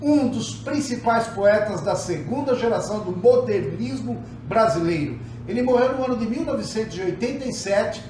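With noticeable background noise underneath, the talking proceeds at a fairly slow pace. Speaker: music history YouTube narrator. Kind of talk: scripted narration.

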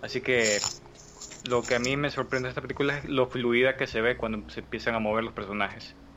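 Over noticeable background noise, a man speaks at a very fast pace in a monotone, flat intonation. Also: medium pitch for a man. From Ecuador. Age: young. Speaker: podcast community member. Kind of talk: casual chat.

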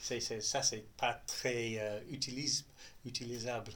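With a strong non-native accent, a man speaks at medium pitch and a fairly slow pace in a monotone, flat intonation. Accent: strong foreign accent in French. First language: English (speaking French). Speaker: data specialist. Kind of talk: interview. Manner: halting.

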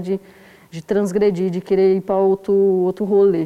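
A woman is speaking. Her pitch is medium. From south side of São Paulo, Brazil. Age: 30s. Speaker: poet, zine author. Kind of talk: casual interview.

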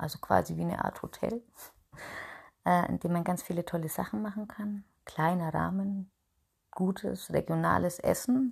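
Leaving long, frequent pauses, a woman talks at a moderate speed. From Upper Franconia, Bayreuth. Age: 30s. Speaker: podcast host and small business owner. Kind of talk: solo personal monologue. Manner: chatty with many filler sounds.

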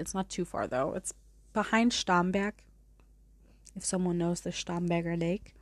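On a very clean recording with a silent background, a woman with a fairly low pitch speaks at a moderate pace in a German accent. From Munich, Germany. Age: 20s. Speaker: podcast host. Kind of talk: casual storytelling monologue. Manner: casual, chatty.

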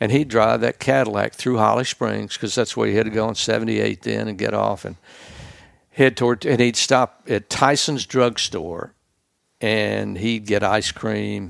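At a moderate pace, a man talks with a Mississippi accent. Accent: US Southern (Mississippi). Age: old. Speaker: retired sportscaster. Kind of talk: casual interview chat.

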